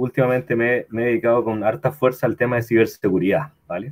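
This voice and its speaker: The voice belongs to a man with a medium pitch. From Chile. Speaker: cybersecurity consultant and entrepreneur. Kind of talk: online talk presentation.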